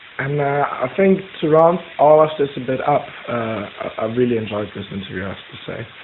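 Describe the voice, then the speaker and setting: A man with a German accent speaks at a moderate pace with a fairly high pitch and lively intonation. His loudness swings widely, and there is noticeable background noise. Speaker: student researcher, interviewer. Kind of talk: interview.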